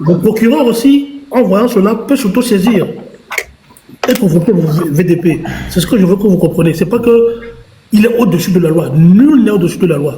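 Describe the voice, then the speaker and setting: Amid noticeable background noise and audible room echo, a high-pitched man speaks at a moderate pace with lively intonation and very even loudness, leaving long, frequent pauses. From Togo. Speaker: political commentator. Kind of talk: live stream debate.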